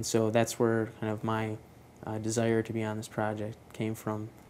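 Light background noise sits behind a man's speech. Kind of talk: interview answer. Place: workshop.

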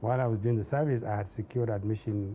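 A man at a very fast pace, his tone dark and mellow, somewhat breathy, with fairly even intonation over light background noise. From northern Nigeria, Zaria. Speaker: civil society activist and former public servant. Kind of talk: interview. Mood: calm, reflective. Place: studio.

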